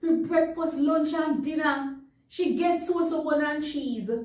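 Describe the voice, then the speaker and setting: In a Jamaican accent, a woman speaks in a high voice, with audible room echo and a quiet background. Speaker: news reader. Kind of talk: dialect poetry reading for children. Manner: comedic, performed. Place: studio.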